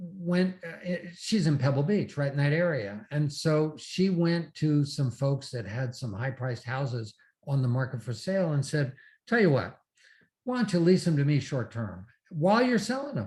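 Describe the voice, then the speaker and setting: Somewhat breathy, a man's fairly high voice swings very widely in pitch. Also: moderate pace. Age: 70s. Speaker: real estate investor and seminar speaker. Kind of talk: interview.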